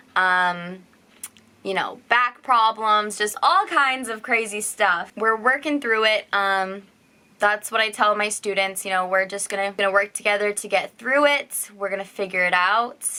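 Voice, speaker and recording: In a very clean recording with a silent background, a woman speaks loudly at a fairly slow pace, her fairly high voice bright and sharp in tone with ordinary pitch variation. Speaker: teacher and vlogger. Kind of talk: casual vlog talk.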